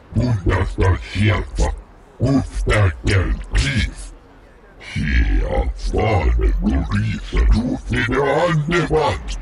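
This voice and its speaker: Putting on a character voice, a man speaks very slowly in a very deep, low pitch. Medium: machinima.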